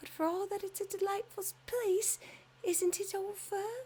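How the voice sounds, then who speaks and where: A put-on character voice comes out at an extremely high pitch. It sounds squeaky and goes at a moderate pace. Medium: read story. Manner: eager, curious.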